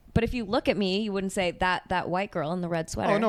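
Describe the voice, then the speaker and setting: Here a woman speaks with a Los Angeles accent. Her pace is very fast and her pitch variation is ordinary. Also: medium pitch for a woman. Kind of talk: casual.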